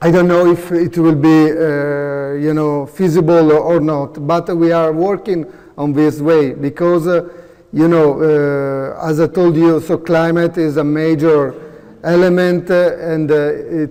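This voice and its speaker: The speaker has an Italian accent and a fairly slow pace. Intonation stays monotone and flat. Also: man, fairly high pitch for a man. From Italy, Veneto region. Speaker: professor. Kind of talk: conference presentation and Q&A. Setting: conference room with audience. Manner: halting, many fillers.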